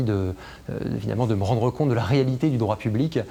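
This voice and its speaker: With fairly even intonation, this man speaks at a medium pitch. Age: 30s. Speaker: senior civil servant and legal officer. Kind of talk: interview testimony about career. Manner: hesitant with frequent fillers.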